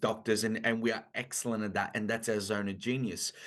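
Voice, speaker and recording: Over a quiet background, a man with an Italian-Australian accent speaks at a medium pitch. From Italy. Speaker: business coach. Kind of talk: podcast interview.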